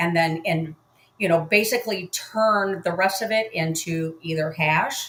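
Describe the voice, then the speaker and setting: A woman talks at a fairly slow pace with medium pitch and ordinary pitch variation. She has a plain, everyday voice. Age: 60s. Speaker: retired hairdresser and crypto mining promoter. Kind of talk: sales webinar.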